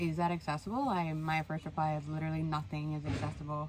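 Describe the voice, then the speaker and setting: Over noticeable background noise, someone speaks at a very fast pace with fairly even intonation. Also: woman, very deep, low pitch for a woman, dry sound with no echo. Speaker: van-life vlogger. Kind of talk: casual vlog chat. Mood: earnest, slightly frustrated. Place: home room. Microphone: phone near.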